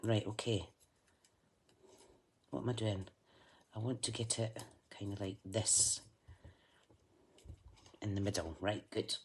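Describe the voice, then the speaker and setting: The speaker uses a Scottish accent and a fairly slow pace, with long, frequent pauses. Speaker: craft livestreamer reading viewer messages. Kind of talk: casual, chatty, Scottish dialect words.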